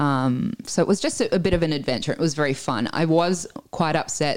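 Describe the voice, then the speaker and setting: In an Australian accent, the voice carries an animated tone at a moderate pace. The recording is very clean, with a silent background. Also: woman. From Italy, raised in Australia from age nine. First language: Italian. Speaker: guest sharing immigrant story. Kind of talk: casual interview. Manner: animated, laughs often.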